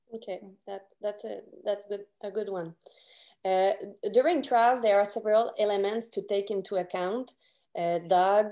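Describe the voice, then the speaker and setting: A woman speaks in a Quebec accent at a medium pitch. Her pace is fairly slow. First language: French. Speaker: podcast host. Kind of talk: interview.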